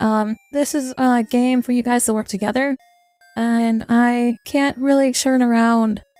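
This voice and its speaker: A woman with a high pitch speaks very slowly with fairly even intonation. The sound is dry and close with no echo, with music in the background. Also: very even loudness. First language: not English. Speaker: VTuber. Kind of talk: casual gaming highlight narration.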